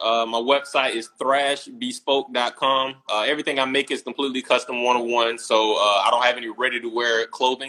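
At a moderate pace, a man with an American accent speaks in a bright, sharp tone. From US South, small-town Georgia. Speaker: menswear designer. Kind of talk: casual interview chat. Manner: casual, relaxed.

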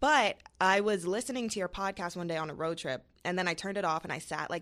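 A woman with an American accent at a very fast pace, ordinary pitch variation, on a very clean recording with a silent background. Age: 20s. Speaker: social media comedian. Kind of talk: casual chat. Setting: studio.

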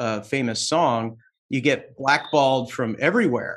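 Against a quiet background, a man with an unremarkable speaking voice talks at a fairly slow pace, his fairly high pitch showing ordinary variation. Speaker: podcast host and real estate broker. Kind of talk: interview. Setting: live stream. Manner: playful.

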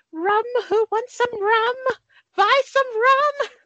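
In a put-on character voice, a woman speaks at an extremely high pitch and a very slow pace. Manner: silly, exaggerated.

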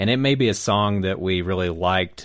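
A man with an American accent and a plain, everyday voice speaks at a fairly low pitch and moderate pace with ordinary pitch variation. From South Carolina. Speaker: roundtable panelist. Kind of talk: casual chat.

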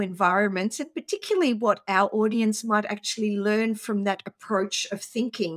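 A woman speaks at medium pitch with ordinary pitch variation. The recording is very clean, with a silent background and a dry, close sound with no echo. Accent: Australian. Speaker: podcast co-host. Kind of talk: casual chat.

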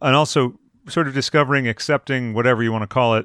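An ordinary speaking voice with ordinary pitch variation, captured with a dry, close sound and no echo. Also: man. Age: 40s. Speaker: podcast host. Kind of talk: casual chat.

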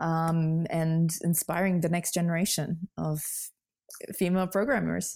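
On a very clean recording with a silent background, a woman with a Russian accent speaks at a fairly slow pace in a fairly low pitch with fairly even intonation. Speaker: software developer and coding influencer. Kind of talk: interview. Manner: laughs often.

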